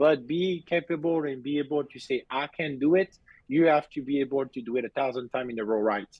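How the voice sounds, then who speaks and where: This man speaks at a fairly quick pace with a strong French accent and a fairly high pitch for a man. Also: ordinary pitch variation. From southern France. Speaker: BMX racing coach. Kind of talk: casual interview. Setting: video call. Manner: halting.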